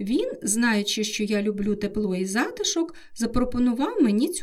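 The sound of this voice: With lively intonation, the speaker uses an unforced reading voice.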